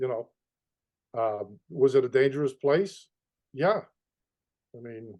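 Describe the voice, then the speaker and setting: A man's dark, mellow, medium-pitched voice with a Boston accent, lively intonation and big swings in loudness, at a fairly slow pace with long, frequent pauses. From Boston, East Boston. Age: 60s. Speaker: mob tour guide. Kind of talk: interview conversation. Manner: halting, many repetitions.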